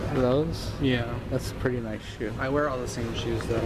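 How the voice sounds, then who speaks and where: A man at a fairly slow pace, with loud background noise. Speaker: vlogger. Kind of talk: casual vlog chat. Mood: playful, joking with friends. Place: shop. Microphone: phone near.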